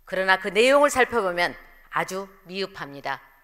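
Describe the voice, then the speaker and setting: The woman's pace is fairly slow, and the background around her is quiet. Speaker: council member giving speech. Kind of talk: formal political speech. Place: hall. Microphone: podium.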